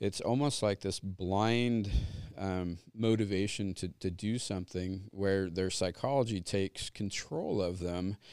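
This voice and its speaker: A man talks at a fairly slow pace in a fairly low pitch with ordinary pitch variation. It is an ordinary speaking voice. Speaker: psychology teacher. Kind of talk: panel discussion.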